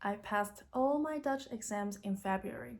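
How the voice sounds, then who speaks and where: A woman speaks with a Chinese accent. Her pitch is medium. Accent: Mandarin Chinese accent in English. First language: Mandarin. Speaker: YouTuber, language learner. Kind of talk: vlog tutorial. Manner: casual.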